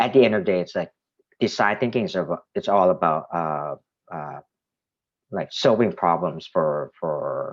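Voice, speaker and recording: A man with a Thai accent speaks at a moderate pace, with long, frequent pauses. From Thailand. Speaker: art director. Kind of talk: presentation to students. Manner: halting, many fillers and repetitions.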